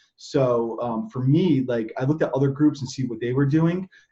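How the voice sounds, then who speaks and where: Mumbling and somewhat breathy, a man speaks in a dark, mellow tone at a fairly high pitch. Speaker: affiliate marketer. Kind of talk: interview. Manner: fast.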